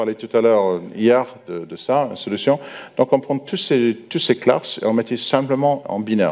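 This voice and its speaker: A man at a medium pitch and moderate pace, with ordinary pitch variation and big swings in loudness. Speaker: software architect, conference speaker. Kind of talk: conference talk. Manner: halting, many hesitations.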